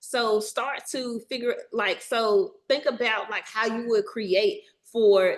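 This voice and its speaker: A woman with a Southern US accent, fairly high in pitch, at a very slow pace with hardly any pauses and ordinary pitch variation. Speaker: documentary filmmaker. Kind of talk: workshop presentation. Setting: video call webinar. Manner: casual, animated.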